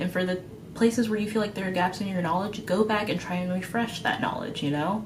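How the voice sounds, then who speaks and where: Amid noticeable background noise and audible room echo, a woman talks at a fairly quick pace with ordinary pitch variation. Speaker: veterinary student. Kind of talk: advice vlog. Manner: fast; casual, with fillers.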